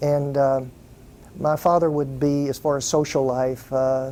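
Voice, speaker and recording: A man speaks at a fairly slow pace with a Texan accent, his pitch fairly high. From Fort Worth, Texas. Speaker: entertainment business owner. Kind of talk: interview answer.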